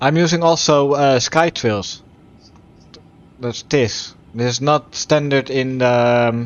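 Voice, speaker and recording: Speech in a Dutch accent moves at a very slow pace, with fairly even intonation. Long, frequent pauses break it up. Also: man, medium pitch for a man. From Netherlands. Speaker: flight sim streamer. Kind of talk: live gameplay stream with radio calls. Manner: halting, stumbles on words.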